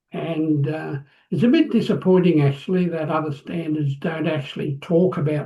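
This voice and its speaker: A man with a fairly high pitch and a dark, mellow tone talks at a moderate pace with fairly even intonation. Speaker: business executive and standards consultant. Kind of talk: interview. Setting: home office, remote call. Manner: hesitant, many fillers.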